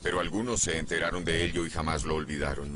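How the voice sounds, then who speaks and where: Noticeable background noise accompanies a man talking at a fairly quick pace. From United States. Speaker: journalist. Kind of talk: documentary interview.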